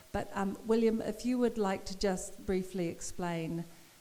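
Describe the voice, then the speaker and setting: A woman speaks with a New Zealand accent at a moderate pace. Her pitch is medium, with ordinary pitch variation. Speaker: poet and professor. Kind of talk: public conversation.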